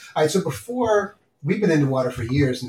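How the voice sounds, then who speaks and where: A man is talking here. There is a somewhat breathy quality to his voice. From New York City (Bronx and Queens). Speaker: podcast host. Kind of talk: casual chat. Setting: at the kitchen table.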